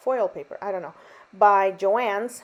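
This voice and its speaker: A woman with ordinary pitch variation. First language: not English. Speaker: card-making crafter. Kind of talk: craft tutorial voiceover. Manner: casual, chatty with fillers.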